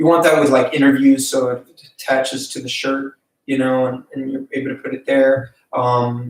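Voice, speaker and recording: A man's medium-pitched voice holds a monotone, flat intonation at a moderate pace. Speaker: filmmaking YouTuber. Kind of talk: casual live stream tutorial. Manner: hesitant, many fillers.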